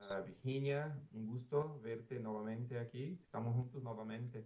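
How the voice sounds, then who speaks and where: A man with a Portuguese accent, medium pitch and a moderate pace. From Brazil. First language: Portuguese (speaking Spanish). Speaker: conference keynote speaker, former telecom official. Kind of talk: conference keynote. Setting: conference stage.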